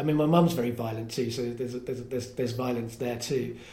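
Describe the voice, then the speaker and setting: A man speaks at a medium pitch with an English accent. His voice is somewhat breathy, with fairly even intonation. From England. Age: 30s. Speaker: podcast host and storyteller. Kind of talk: casual chat. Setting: comedy club attic.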